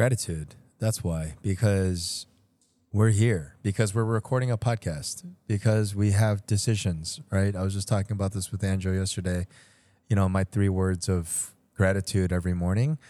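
The voice has a dark, mellow tone. The recording is very clean, with a silent background. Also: man, fairly low pitch for a man, ordinary pitch variation, moderate pace. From Chicago, US Midwest. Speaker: restaurateur, podcast host. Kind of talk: casual chat.

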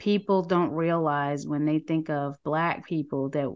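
Speaking with a New York accent, a woman uses a very deep, low-pitched voice and fairly even intonation. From New York City. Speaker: nonprofit director and talk show host. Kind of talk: interview.

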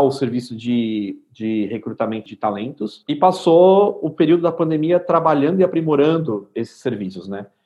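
With an unremarkable speaking voice, a man talks in a lively intonation. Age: 30s. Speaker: innovation center CEO. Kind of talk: casual interview chat.

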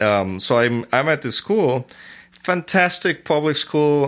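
A man speaks with a Spanish accent. His intonation is lively. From Venezuela. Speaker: orchestra conductor. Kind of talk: casual interview.

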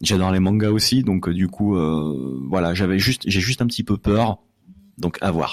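In a very clean recording with a silent background, a man with a very deep, low pitch speaks at a moderate pace, using ordinary pitch variation and very even loudness, the sound dry and close with no echo. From France, Lyon. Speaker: literature podcaster. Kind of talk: casual chat.

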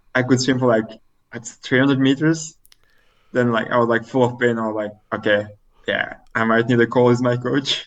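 With a French accent, a man speaks at a moderate pace in a medium-pitched, flat monotone, leaving long, frequent pauses. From Belgium, French-speaking part. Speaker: elite triathlete. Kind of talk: casual interview. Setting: remote call. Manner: halting, many fillers.

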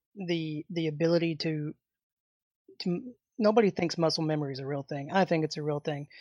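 A woman with a very deep, low voice speaks in a Southern US accent, with ordinary pitch variation. She leaves long, frequent pauses, and the sound is dry and close with no echo against a quiet background. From Arkansas, US South. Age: 30s. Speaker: martial arts instructor. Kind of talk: interview.

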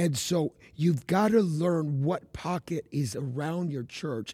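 The voice is somewhat breathy, with a dark, mellow tone. It moves at a fairly slow pace with lively intonation. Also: man. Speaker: evangelist. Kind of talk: casual chat.

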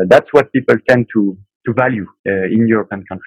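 A man with a French accent at medium pitch and moderate pace, with ordinary pitch variation and a dry, close sound with no echo. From France. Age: 30s. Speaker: aerospace engineer, project manager. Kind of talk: casual chat. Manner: halting.

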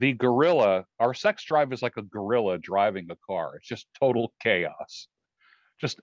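A man's normal speaking voice at medium pitch, fairly slow pace and lively intonation. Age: 60s. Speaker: life coach. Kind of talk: casual chat.

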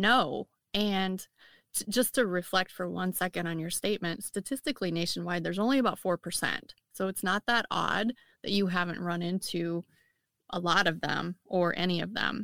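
A bright, sharp tone with a Midwestern accent, ordinary pitch variation and a moderate pace, in a dry, close sound with no echo on a very clean recording with a silent background. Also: woman, medium pitch for a woman. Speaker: firefighter and wellness coach. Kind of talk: casual interview.

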